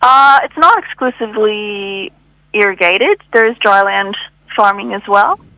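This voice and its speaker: Dry and close with no echo, a woman with a Canadian accent speaks in a bright, sharp tone at a fairly high pitch. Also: ordinary pitch variation, moderate pace. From Canada, Ottawa. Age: young. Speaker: agricultural scientist. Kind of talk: radio interview.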